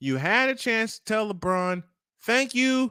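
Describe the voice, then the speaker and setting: In a New York accent, a man speaks at a fairly slow pace with a raised, projected voice, a bright, sharp tone and lively intonation, the sound dry and close with no echo. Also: very clean recording, silent background. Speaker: morning show host. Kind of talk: casual chat. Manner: animated.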